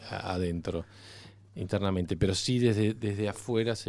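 In a Rioplatense accent, a man speaks with a dark, mellow tone and fairly even intonation, recorded very cleanly against a silent background. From Argentina. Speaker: cinematographer. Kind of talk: interview. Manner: halting.

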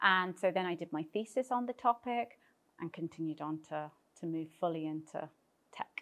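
A woman speaks with a British accent in a fairly low voice, her intonation lively. The pace is moderate and the sound dry and close, with no echo. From Britain. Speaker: tech startup founder. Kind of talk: interview.

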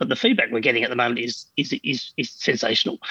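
Recorded dry and close with no echo, a man with an Australian accent swings his pitch very widely. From Australia, Adelaide. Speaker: founder of accounting software company. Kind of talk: interview.

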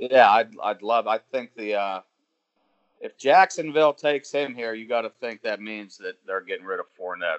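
This man has an unremarkable speaking voice at medium pitch and a moderate pace. His intonation is lively, with big swings in loudness. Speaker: podcast co-host. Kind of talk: casual banter about NFL draft.

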